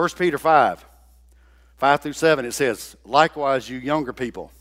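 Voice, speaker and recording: Delivered at a moderate pace, this is an unremarkable speaking voice with ordinary pitch variation. The recording is very clean, with a silent background. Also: man. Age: 60s. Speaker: guest preacher. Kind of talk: sermon. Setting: church.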